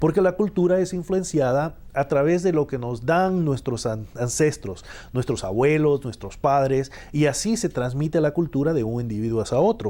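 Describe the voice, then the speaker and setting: With a dark, mellow tone and lively intonation, a man speaks at a moderate pace in a fairly high pitch. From El Salvador. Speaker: professor. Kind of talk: TV interview. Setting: TV studio. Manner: halting, many filler 'ah's.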